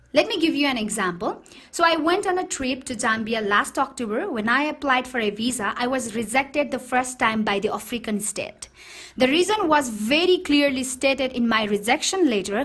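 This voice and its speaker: Over noticeable background noise, a woman speaks at a moderate pace in a high pitch with lively intonation. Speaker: podcast host, web business promoter. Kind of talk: scripted talk.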